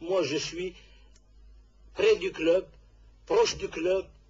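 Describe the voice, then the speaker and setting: A man speaks at a very slow pace. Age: 60s. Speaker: football club president. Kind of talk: radio interview. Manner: halting.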